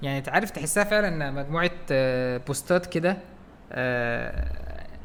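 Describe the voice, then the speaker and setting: Clear background noise accompanies a male speaker whose voice sits fairly high. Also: ordinary pitch variation, fairly slow pace. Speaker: podcast co-host. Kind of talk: casual chat. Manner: louder, energetic.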